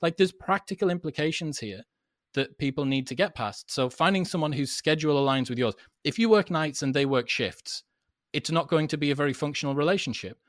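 Here a man with a British accent talks at a fairly quick pace with a fairly high pitch and lively intonation. The recording is very clean and the background silent. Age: 30s. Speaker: podcaster, former club promoter. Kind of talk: casual interview chat.

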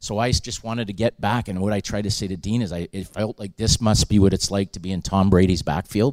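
A fairly low-pitched man at a very fast pace, hardly any pauses and fairly even intonation, in a dry, close sound with no echo. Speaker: hockey scout. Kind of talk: live podcast interview. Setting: stage with audience.

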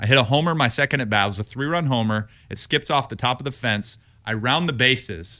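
A man with an American accent and a bright, sharp tone speaks at a very fast pace in a medium pitch with ordinary pitch variation, on a very clean recording with a silent background. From Texas, Houston. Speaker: retired baseball player, TV analyst. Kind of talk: casual interview. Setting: studio.

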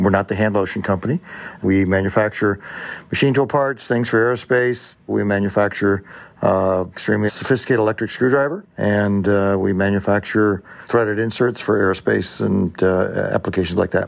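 A man with a plain, everyday voice talks at a fairly quick pace and a fairly low pitch. His intonation is fairly even and his loudness very even. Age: 60s. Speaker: manufacturing company president. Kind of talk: interview.

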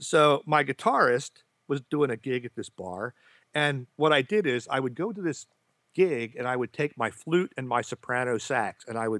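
In a normal speaking voice, a man talks at a medium pitch with ordinary pitch variation, the sound dry and close with no echo in a very clean recording with a silent background. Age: 50s. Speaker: clarinetist. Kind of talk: casual chat.

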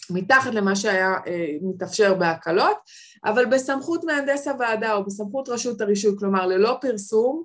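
Her intonation is lively. This woman speaks at a medium pitch.

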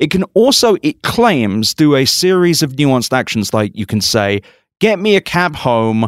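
A man's plain, everyday voice with lively intonation at a fairly slow pace, on a very clean recording with a silent background. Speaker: tech podcast host. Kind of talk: casual chat. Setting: conference in Las Vegas.

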